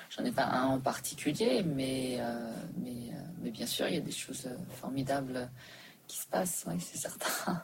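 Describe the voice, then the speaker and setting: A woman with a very deep, low pitch and lively intonation, speaking fairly slowly with long, frequent pauses amid noticeable background noise and audible room echo. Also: big swings in loudness. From Switzerland. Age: 40s. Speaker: entrepreneur. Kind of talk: interview. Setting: back room of a restaurant.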